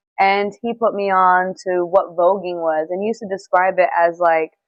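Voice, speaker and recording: A woman with a New York accent. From New York City, Bronx. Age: 20s. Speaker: dancer and model. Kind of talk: interview.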